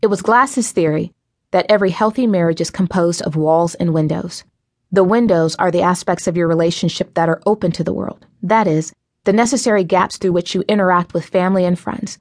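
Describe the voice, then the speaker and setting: A woman has a normal speaking voice at medium pitch with ordinary pitch variation. She talks at a fairly quick pace against a quiet background. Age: 30s. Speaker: author narrating own book. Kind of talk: audiobook narration.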